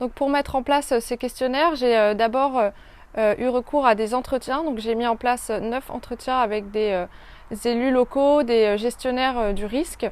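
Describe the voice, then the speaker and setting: This woman's voice has a high pitch. Her intonation stays fairly even. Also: moderate pace. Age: 20s. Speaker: geography student. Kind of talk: interview. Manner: hesitant, many filler sounds.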